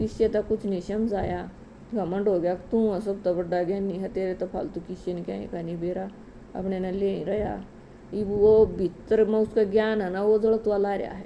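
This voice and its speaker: A woman's voice has a dark, mellow tone. Her intonation stays flat and monotone. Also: medium pitch for a woman. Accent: Haryana. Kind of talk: religious folk story telling. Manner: casual storytelling.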